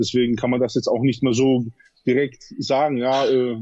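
A man talks at a moderate pace with a medium pitch and a dark, mellow tone. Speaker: bodybuilder. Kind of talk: interview. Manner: halting, many fillers.

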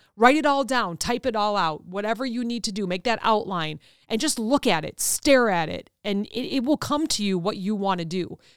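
A woman speaks at a moderate pace in an animated tone, her pitch fairly high. Her intonation is lively, and the recording is very clean with a silent background. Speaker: podcast host and author. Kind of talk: solo motivational talk. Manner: animated, loud.

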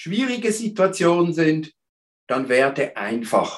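In a normal speaking voice, the speaker talks at a fairly slow pace. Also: man. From Switzerland, Basel. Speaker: therapist. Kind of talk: interview.

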